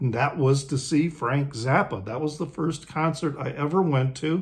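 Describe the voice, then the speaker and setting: Fairly slow, somewhat breathy speech from a man with an American accent. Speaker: music video creator. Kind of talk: casual talk to camera. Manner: casual, hesitant.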